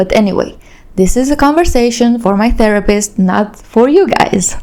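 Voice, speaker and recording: Her pitch fairly high, a woman speaks with a Romanian accent at a moderate pace and with lively intonation. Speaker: YouTuber. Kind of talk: casual storytelling monologue.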